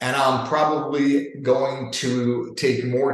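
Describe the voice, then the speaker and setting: With a New York accent, a man speaks at fairly high pitch and sounds somewhat breathy. Audible room echo is present. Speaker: leadership coach. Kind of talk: webinar presentation. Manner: animated.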